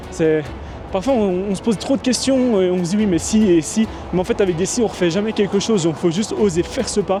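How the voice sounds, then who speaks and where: Music plays behind a man talking at a fairly quick pace. His voice is high-pitched. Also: ordinary pitch variation. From Belgium. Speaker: vlogger. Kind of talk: casual talk to camera.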